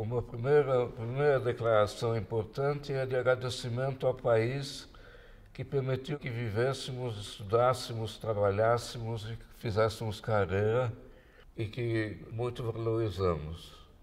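A man speaks at a fairly slow pace with fairly even intonation. His voice is somewhat breathy. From Brazil. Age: 80s+. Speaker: physicist and science communicator. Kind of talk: talk to an audience. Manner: halting. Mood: reflective, reminiscing. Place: home room.

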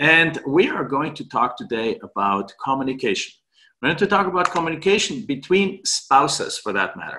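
A man talks with vocal fry and very wide pitch swings. Noticeable background noise sits behind him. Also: moderate pace. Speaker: podcast host. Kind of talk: podcast monologue. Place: home room. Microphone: webcam.

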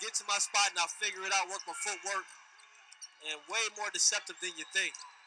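Background noise can be clearly heard in this recording. Over it, a man delivers his words fairly quickly. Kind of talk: live sports commentary, color analyst. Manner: animated, excitable, chatty; laughing, playful banter.

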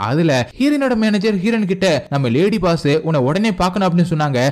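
His high voice swings very widely in pitch as the man speaks. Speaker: movie explainer voice-over narrator. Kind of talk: movie recap narration, casual and humorous storytelling.

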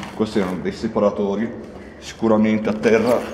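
There's audible room echo and light background noise as a man speaks. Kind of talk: exploration commentary. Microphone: phone near.

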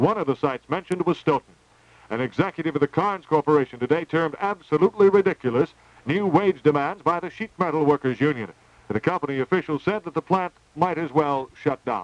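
A man talks at a very fast pace in a dry sound with no echo. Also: ordinary pitch variation. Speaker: radio newscaster. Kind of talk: news reading. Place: studio. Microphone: old recording.

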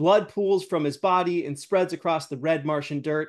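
The pitch rises and falls in an ordinary way. The background is quiet. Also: man. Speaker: show host. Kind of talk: reading a script aloud. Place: home room.

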